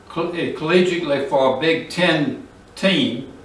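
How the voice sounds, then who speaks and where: Amid noticeable background noise and audible room echo, a man talks very slowly at a fairly high pitch. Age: 80s+. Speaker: retired surfer, local historian. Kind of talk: narrated photo presentation.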